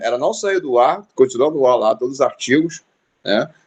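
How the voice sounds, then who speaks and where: Lively in intonation, a man speaks at a moderate pace with a strong Rio de Janeiro accent. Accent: strong carioca. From Rio de Janeiro, Brazil. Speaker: pastor and theology teacher. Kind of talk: casual chat. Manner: halting, many fillers.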